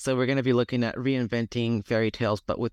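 Over a quiet background, a man with an ordinary speaking voice talks at a medium pitch with fairly even intonation, in a dry, close sound with no echo. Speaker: publisher and accessibility consultant. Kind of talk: interview.

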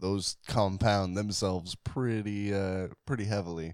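The recording is very clean, and the background is silent. A man talks in a very deep, low pitch. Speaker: podcast co-host. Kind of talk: casual chat about music history. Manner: casual, rambling, joking.

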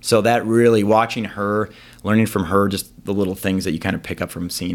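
Fairly quick speech from a man with an American accent, fairly low in pitch, a plain, everyday voice, on a very clean recording with a silent background. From Wisconsin, Green Bay. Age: 40s. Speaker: lawyer. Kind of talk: casual chat.

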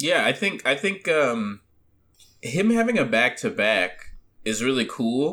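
At a fairly slow pace, a man speaks in a bright, sharp tone at fairly high pitch, with very wide pitch swings and very even loudness on a very clean recording with a silent background. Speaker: podcast co-host.

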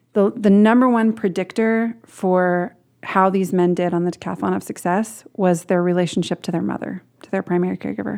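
Recorded very cleanly against a silent background, a woman with an American accent speaks at a fairly quick pace in an unremarkable speaking voice of medium pitch with ordinary pitch variation. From Portland, Oregon. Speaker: author. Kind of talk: interview. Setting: in person.

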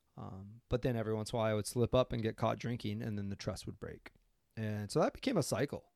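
A man with a fairly low pitch speaks with an American accent at a very fast pace. His intonation stays fairly even. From Idaho. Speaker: recovery life coach and podcast host. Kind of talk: interview.

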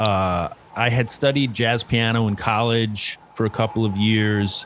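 A man speaks at a fairly slow pace with fairly even intonation over noticeable background noise. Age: 50s. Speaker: stand-up comedian. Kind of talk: casual interview chat.

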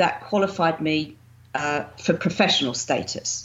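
A woman with a southern English accent, very deep and low in pitch, with ordinary pitch variation at a moderate pace. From southern England, Winchester. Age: 50s. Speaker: bodybuilding champion and fitness coach. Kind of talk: interview. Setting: remote call.

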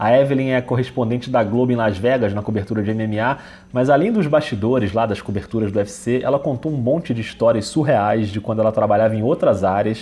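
A man's voice at medium pitch and a fairly quick pace. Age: 40s. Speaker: podcast host. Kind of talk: podcast intro and announcements. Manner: animated.

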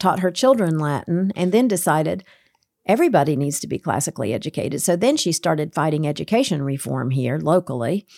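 A woman talks very fast with a very deep, low pitch, a dark, mellow tone and vocal fry. The recording is very clean with a silent background, and the sound is dry and close with no echo. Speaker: curriculum director at a publisher. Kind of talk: casual interview. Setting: studio. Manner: loud.

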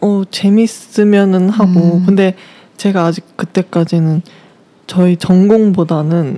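A woman speaks at a very slow pace with ordinary pitch variation. The sound is dry and close, with no echo. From South Korea. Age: 20s. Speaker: university student on leave, cafe worker. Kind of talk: interview. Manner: hesitant.

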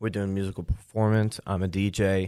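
In a New York accent, a man talks at a moderate pace in a flat monotone, on a very clean recording with a silent background. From Long Island, New York. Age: 30s. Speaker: insurance agent. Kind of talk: casual chat.

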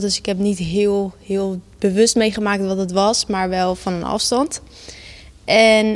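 A woman speaks at a fairly slow pace. Her medium pitch stays in a monotone, flat intonation. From Netherlands, Gouda. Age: 20s. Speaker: psychomotor therapist and author. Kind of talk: interview about personal loss.

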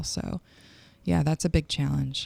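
A woman speaks with a US Midwestern accent. The sound is dry and close, with no echo. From Michigan, US Midwest. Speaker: singer-songwriter. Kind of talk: casual interview chat.

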